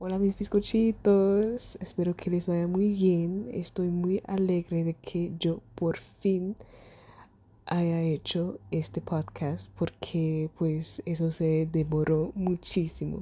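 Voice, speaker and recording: Very slowly, a woman with a German accent speaks in a fairly low pitch with a dark, mellow tone and fairly even intonation. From Germany. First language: German (speaking Spanish). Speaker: podcaster. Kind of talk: casual monologue. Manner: halting.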